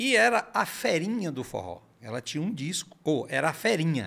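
A man's voice with very wide pitch swings. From Ceará, Brazil. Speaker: forró singer; podcast guest. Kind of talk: casual interview chat. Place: studio. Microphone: studio mic.

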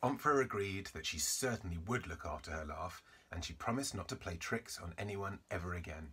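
With lively intonation, the text is read aloud in a natural voice.

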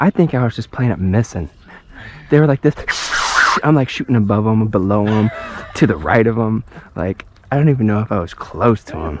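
Amid noticeable background noise, a man talks at a fairly quick pace with lively intonation, the sound dry with no echo. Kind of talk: casual banter. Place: waterside.

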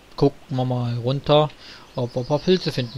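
Behind this man's voice, music can be heard. He holds a medium pitch with fairly even intonation. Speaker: let's player. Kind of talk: gameplay commentary. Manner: hesitant, many filler sounds.

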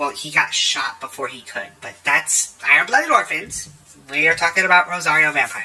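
Words come at a middling speed with music audible behind them. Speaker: video editor and manga reviewer. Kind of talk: casual chat.

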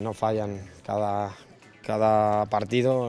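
A man's fairly low voice in a monotone, flat intonation, dry with no echo, with faint music in the background. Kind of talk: interview answer. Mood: calm, satisfied after win. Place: hall. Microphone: handheld.

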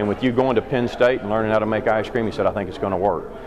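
A man speaks with fairly even intonation, and noticeable background noise can be heard. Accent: Kentucky. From Kentucky. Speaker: dairy farmer and ice cream business owner. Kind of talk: interview storytelling. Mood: friendly, proud. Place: hall. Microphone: phone near.

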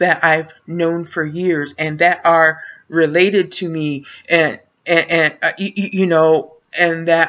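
A woman speaks at a fairly low pitch and a very slow pace. The background is quiet. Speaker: vlogger. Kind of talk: casual vlog chat. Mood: exasperated, venting. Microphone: webcam.

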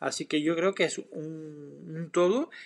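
Against a quiet background, a man talks with a French accent. His pitch sits fairly high. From France. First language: French (speaking Spanish). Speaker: photographer. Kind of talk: live stream Q&A; live stream Q&A answer. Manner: hesitant with fillers. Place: home room. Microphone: webcam.

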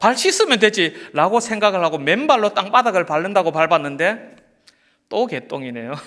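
A man with a high pitch talks at a moderate pace, his pitch swinging very widely. The recording is very clean, with a silent background. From rural South Korea. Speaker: pastor. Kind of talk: sermon.

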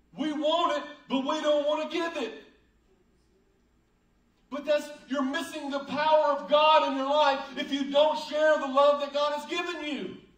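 Speaking with a Southern US accent, a man uses an extremely high pitch and monotone, flat intonation at a fairly slow pace, with long, frequent pauses and audible room echo. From United States. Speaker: pastor. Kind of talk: sermon preached to a congregation. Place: church.

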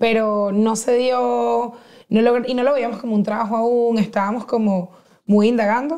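With fairly even intonation, a woman talks at a fairly slow pace over a quiet background. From Venezuela, Caracas. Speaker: podcaster and comedian. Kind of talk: casual chat. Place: studio. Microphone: lapel.

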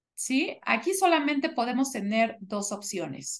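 A woman speaks very slowly at a fairly high pitch, her pitch swinging very widely. The background is quiet. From Mexico, Toluca; Mexico. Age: 30s. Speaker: English teacher. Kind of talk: online class lesson, bilingual English/Spanish. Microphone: video call.

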